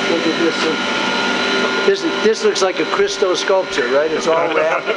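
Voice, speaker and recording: This is a man speaking. Loud background noise runs behind him. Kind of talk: tour guide explanation. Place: factory.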